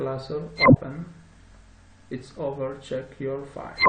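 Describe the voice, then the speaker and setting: A man with a non-native accent speaks at a very slow pace. Audible room echo and noticeable background noise surround him. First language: not English. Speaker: software tutorial presenter. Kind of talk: tutorial. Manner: halting, many fillers.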